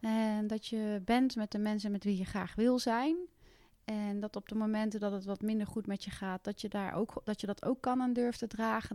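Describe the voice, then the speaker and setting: A woman speaks at a moderate pace in a fairly high pitch, with a plain, everyday voice. The sound is dry and close, with no echo. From Netherlands, Gelderland (Westervoort). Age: 40s. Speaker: karate champion and youth coach. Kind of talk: podcast interview.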